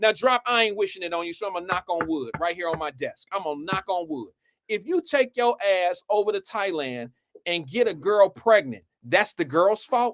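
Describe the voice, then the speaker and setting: This man's high-pitched voice has lively intonation and an animated tone, moving at a moderate pace with a dry, close sound and no echo. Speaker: live stream host. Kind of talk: heated debate.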